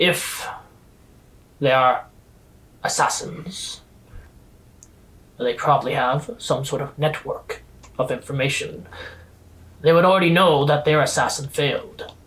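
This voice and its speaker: A man in a put-on character voice, fairly high-pitched, at a fairly slow pace with long, frequent pauses. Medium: actual play. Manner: formal, clipped and stern.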